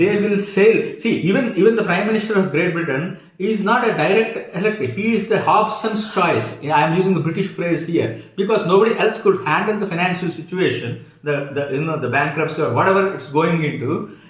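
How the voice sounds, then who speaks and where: A man with a strong Indian accent speaks at a fairly quick pace with hardly any pauses. His pitch is high with ordinary variation, and noticeable background noise runs underneath. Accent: thick Indian. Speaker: commentator. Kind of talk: opinion monologue. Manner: halting, many fillers.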